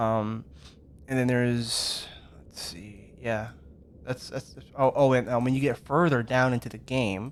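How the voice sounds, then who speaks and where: A man with a medium pitch speaks in fairly even intonation, leaving long, frequent pauses while his loudness swings widely. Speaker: gaming youtuber. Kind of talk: gameplay walkthrough commentary. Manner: fast; halting, many fillers.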